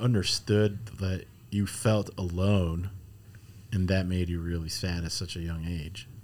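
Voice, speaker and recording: A man's very deep, low voice with an American accent, ordinary pitch variation and a fairly slow pace. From US Midwest, Chicago. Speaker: podcast host, ministry worker. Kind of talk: casual interview. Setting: studio. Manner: filler-heavy, halting.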